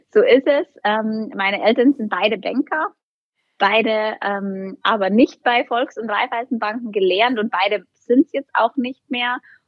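At a fairly slow pace, a normal speaking voice carries ordinary pitch variation. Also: woman, fairly high pitch for a woman. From Berchtesgaden, Upper Bavaria. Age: 20s. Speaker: bank marketing employee. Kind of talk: casual interview.

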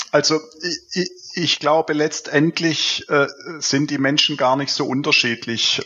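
A fairly high-pitched man with a Swabian accent, fairly slow and fairly even in intonation, over noticeable background noise. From Swabia, southern Germany. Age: 50s. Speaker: IT consultant and business owner. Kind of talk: casual interview. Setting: remote call from home office. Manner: halting, many filler sounds.

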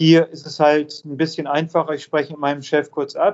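His pitch sits fairly high for a man. He speaks at a moderate pace. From Germany. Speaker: automotive plant manager. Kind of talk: interview.

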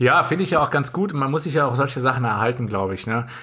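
A man's bright, sharp tone at a medium pitch. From western Germany, Lower Rhine area near Korschenbroich. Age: 40s. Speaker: doctor. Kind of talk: casual chat. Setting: home studio, remote.

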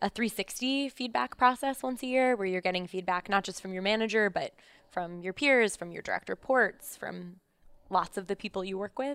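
Lively intonation runs through a plain, everyday voice with an American accent. The pace is moderate, and the recording is very clean with a silent background. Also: woman. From US Midwest, Columbus, Ohio. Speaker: company executive. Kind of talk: interview. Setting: company office.

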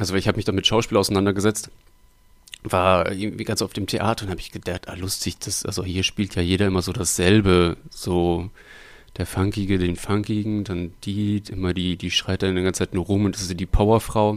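A man's very deep, low voice in a flat monotone at a fairly quick pace. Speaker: puppeteer and musician. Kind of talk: casual interview chat.

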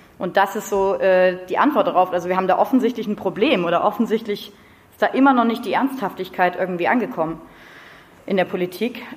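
Noticeable background noise runs under a woman's voice. She speaks at medium pitch and a fairly quick pace, with ordinary pitch variation. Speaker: climate activist and teacher-training student. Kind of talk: lecture.

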